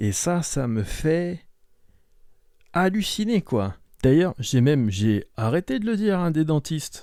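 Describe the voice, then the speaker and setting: A man speaks at a very slow pace in a dark, mellow tone with very wide pitch swings. The recording is very clean, with a silent background. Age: 60s. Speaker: podcast host. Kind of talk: casual monologue. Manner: hesitant.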